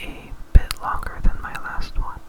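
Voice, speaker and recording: The speaker is whispering at a fairly slow pace. Noticeable background noise can be heard. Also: man. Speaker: ASMR gaming commentator. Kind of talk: ASMR gameplay commentary. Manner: soft-spoken.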